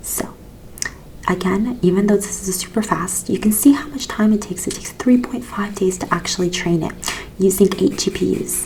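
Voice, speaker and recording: Soft-spoken, with a gentle tone, the speaker talks at a moderate pace over noticeable background noise. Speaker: ASMR educator. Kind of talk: ASMR educational explanation of a research paper. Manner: soft-spoken, gentle.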